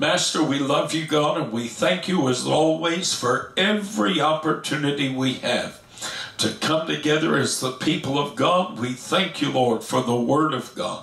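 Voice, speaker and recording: With a moderate pace and ordinary pitch variation, a man speaks amid audible room echo. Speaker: pastor teaching Bible study. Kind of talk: sermon. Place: home room.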